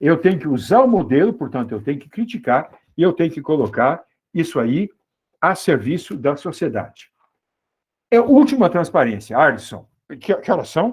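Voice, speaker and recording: A man's high-pitched voice at a moderate pace, with very wide pitch swings and long, frequent pauses. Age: 70s. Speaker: mathematics professor. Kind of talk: lecture.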